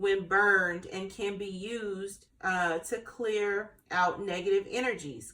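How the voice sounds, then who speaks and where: At a very slow pace, a woman speaks with ordinary pitch variation. Her voice sits at a medium pitch. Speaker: tarot and intuitive reader. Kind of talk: spiritual card reading to camera. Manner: casual, hesitant with many fillers.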